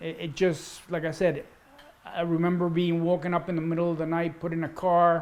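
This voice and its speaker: A high-pitched man with a Spanish accent, monotone, flat intonation and a fairly quick pace. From Cuba, raised in Washington D.C. from childhood. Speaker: interviewee recounting life story. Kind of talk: interview, personal life story.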